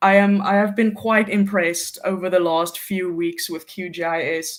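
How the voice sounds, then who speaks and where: The speaker has an American accent. The pace is moderate. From South Africa, near Cape Town. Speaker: GIS intern. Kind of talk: casual interview on a livestream.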